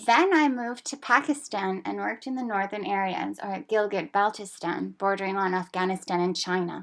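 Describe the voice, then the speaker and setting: A woman talks in a normal speaking voice at medium pitch and a moderate pace, with ordinary pitch variation. The recording is very clean with a silent background. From Canada. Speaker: language teacher. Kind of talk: personal narration.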